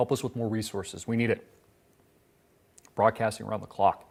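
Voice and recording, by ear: A man puts on a hoarse character voice at a medium pitch, speaking fairly quickly. His intonation stays monotone and flat, and the recording is very clean with a silent background.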